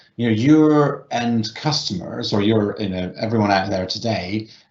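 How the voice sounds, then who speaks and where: A man with a fairly low voice and a British accent, at a fairly slow pace with ordinary pitch variation. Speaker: technology company representative. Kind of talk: panel discussion. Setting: virtual event. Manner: hesitant, many fillers.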